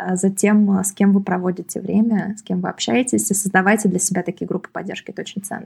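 Recorded very cleanly against a silent background, a woman with a medium pitch and a somewhat breathy voice speaks at a moderate pace with fairly even intonation. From Moscow region, Russia. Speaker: entrepreneur and author. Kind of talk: casual interview chat.

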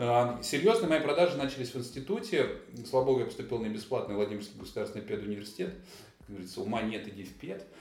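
A medium-pitched man at a very fast pace, with very wide pitch swings and big swings in loudness, amid audible room echo and noticeable background noise. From Russia, Vladimir region (Kolchugino). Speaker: event sales director. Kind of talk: casual interview. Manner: animated.

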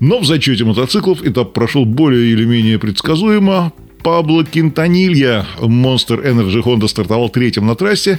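A man talks at a moderate pace with very wide pitch swings and very even loudness. Noticeable background noise runs underneath. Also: medium pitch for a man. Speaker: radio host. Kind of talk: race report, scripted-sounding radio narration of stage results.

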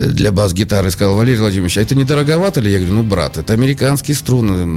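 A man speaks at a fairly low pitch. Noticeable background noise runs under the recording. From Saint Petersburg, Russia. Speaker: radio host and guitar teacher. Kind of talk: casual chat.

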